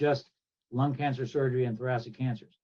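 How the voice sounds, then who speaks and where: With a Midwestern US accent, a man of medium pitch speaks at a fairly quick pace in a dark, mellow, somewhat breathy tone with fairly even intonation. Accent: US Midwest. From Kansas. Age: 70s. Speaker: thoracic surgeon. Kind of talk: interview.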